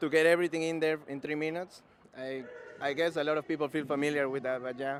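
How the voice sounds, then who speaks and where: A man with a strong Peruvian accent, fairly high pitch and monotone, flat intonation at a very fast pace, amid noticeable background noise. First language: Spanish. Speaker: comedian. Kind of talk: casual interview; stand-up. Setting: stage with audience.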